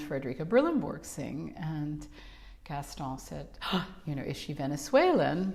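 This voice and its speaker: With a New York accent, a woman speaks at a moderate pace in a very deep, low pitch, and audible room echo surrounds her voice. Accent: New York American. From New York City. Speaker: opera singer. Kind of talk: casual chat.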